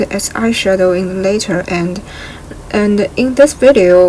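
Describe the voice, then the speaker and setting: A woman with a non-native accent speaks at a fairly slow pace. Her intonation is fairly even, with noticeable background noise. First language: not English. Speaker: beauty vlogger. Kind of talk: makeup tutorial.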